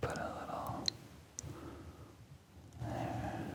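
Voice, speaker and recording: A voice whispering. Noticeable background noise can be heard. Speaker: ASMR creator, map illustrator. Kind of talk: ASMR map drawing narration. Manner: whispered.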